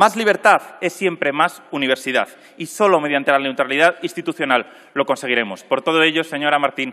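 A man speaking at a fairly quick pace with lively intonation, over a quiet background. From Spain. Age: 30s. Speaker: politician. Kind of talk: parliamentary speech. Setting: parliament chamber. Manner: formal. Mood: combative, ironic. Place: hall. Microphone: podium.

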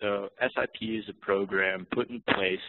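A man's ordinary speaking voice, fairly low in pitch, with fairly even intonation and an American accent. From Oakland, California. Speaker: community development coordinator. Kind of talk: webinar presentation.

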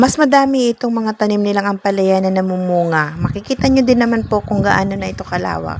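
Against noticeable background noise, a woman speaks at medium pitch with ordinary pitch variation. Her pace is fairly quick, with hardly any pauses. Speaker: vlogger. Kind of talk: walking vlog narration. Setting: outdoors.

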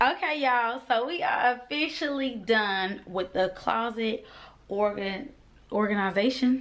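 A woman with a slight country accent speaks fairly slowly, her fairly high voice carrying an animated tone and lively intonation. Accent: slight country twang. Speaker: vlogger. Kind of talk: casual chat. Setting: at home, ring light. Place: home room. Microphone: phone near.

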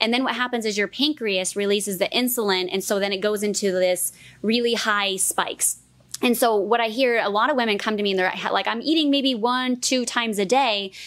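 Speaking at a fairly quick pace, a woman shows ordinary pitch variation. The background is quiet. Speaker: fitness coach. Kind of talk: podcast interview. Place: studio. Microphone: studio mic.

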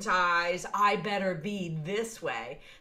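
This woman's voice sits at a medium pitch. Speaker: podcast host. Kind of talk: interview, casual chat. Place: home room.

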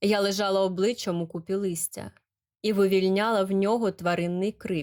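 Over a quiet background, the text is read aloud in a natural voice with fairly even intonation.

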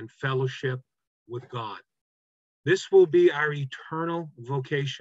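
A somewhat breathy man at a fairly slow pace, dry sound with no echo, quiet background. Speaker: pastor. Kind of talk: Bible study teaching. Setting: video call. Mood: earnest, warm preaching. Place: home room. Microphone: webcam.

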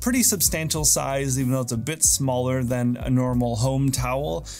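Faint music plays in the background. The speech moves at a moderate pace with ordinary pitch variation. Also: man. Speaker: gear reviewer. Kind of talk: product review talk to camera. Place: home room.

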